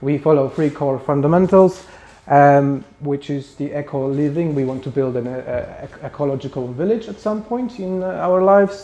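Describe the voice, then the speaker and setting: A man speaks with a Polish accent and lively intonation. Noticeable background noise is present. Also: fairly high pitch for a man, moderate pace. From Poland. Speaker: spiritual group founder. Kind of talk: lecture. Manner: halting.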